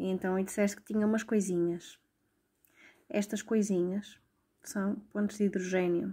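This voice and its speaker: A woman with a European Portuguese accent speaks at medium pitch in a dark, mellow, somewhat breathy tone, with fairly even intonation. Her moderate pace breaks into long, frequent pauses on a very clean recording with a silent background. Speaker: tutor. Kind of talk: tutorial.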